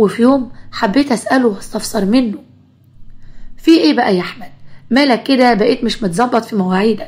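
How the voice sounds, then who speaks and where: A woman with an Egyptian accent and a fairly high voice, speaking at a moderate pace with ordinary pitch variation. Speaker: storyteller. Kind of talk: first-person story narration.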